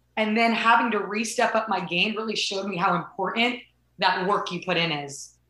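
Quick-ish and animated, the speech has ordinary pitch variation and audible room echo. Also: woman, medium pitch for a woman. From Southern California. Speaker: softball coach and former college athlete. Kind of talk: interview.

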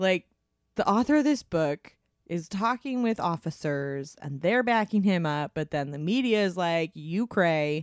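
The recording is very clean, with a silent background and a dry, close sound with no echo. It is an unremarkable speaking voice, delivered at a fairly slow pace with lively intonation. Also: woman, fairly low pitch for a woman. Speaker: podcast host. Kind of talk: casual chat with scripted reading.

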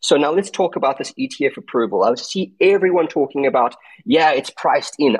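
Lively intonation marks a man's high-pitched voice, heard in a dry, close sound with no echo. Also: moderate pace. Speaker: crypto trader. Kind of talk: casual panel discussion. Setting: online audio space.

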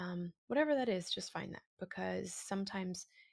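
In an American accent, a normal speaking voice moves at a moderate pace, with a dry, close sound with no echo and a very clean recording, silent background. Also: woman. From Massachusetts, south of Boston. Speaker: actor and podcast host. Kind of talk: casual interview chat.

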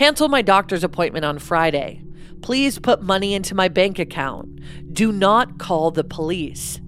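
With music playing behind her, a woman speaks in a fairly low voice. Her intonation is lively. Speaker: true crime podcast co-host. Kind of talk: true-crime narration, reading a ransom note aloud then chatting.

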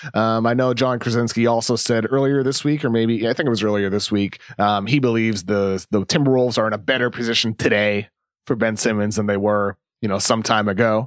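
At a fairly quick pace, a man speaks at a medium pitch with very even loudness and fairly even intonation, in a very clean recording with a silent background. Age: 30s. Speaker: basketball writer and podcast co-host. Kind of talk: casual chat.

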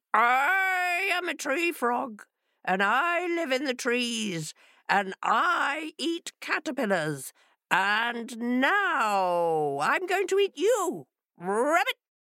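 In a put-on character voice, a woman speaks very slowly in a high pitch with very wide pitch swings. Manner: threatening.

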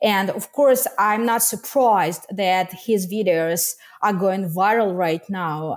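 Speaking very slowly with a Russian accent, a woman uses a medium pitch and ordinary pitch variation. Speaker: activist and journalist. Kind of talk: interview discussion. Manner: halting.

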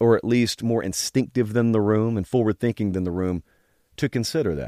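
Lively intonation from a man with a Southern US accent, medium in pitch, with a dry, close sound and no echo. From Georgia. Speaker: college football show host. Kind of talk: casual interview. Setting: studio.

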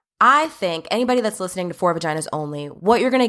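In a New Jersey accent, a woman speaks with a bright, sharp tone and lively intonation over a very clean recording with a silent background. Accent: New Jersey American. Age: 30s. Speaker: podcast host and OBGYN doctor. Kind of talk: casual monologue.

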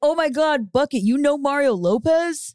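A woman's put-on character voice, high in pitch, at a moderate pace

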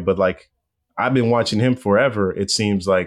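A man with an American accent and an ordinary speaking voice at a moderate pace, fairly even intonation, in a very clean recording with a silent background. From Los Angeles, US West Coast. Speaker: baseball reporter. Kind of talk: casual interview.

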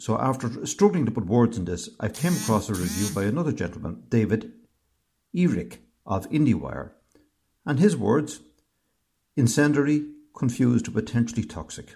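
A man with an Irish accent talks at a medium pitch in a dark, mellow tone with vocal fry. His pitch swings very widely, and he leaves long, frequent pauses. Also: moderate pace. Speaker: host's family member. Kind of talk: recorded voice message. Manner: halting.

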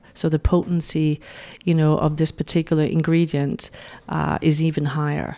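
Speaking with a Danish accent, a woman has a very deep, low pitch, heard on a very clean recording against a silent background. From Denmark. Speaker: beauty brand founder and makeup artist. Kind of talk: interview. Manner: hesitant, many fillers.

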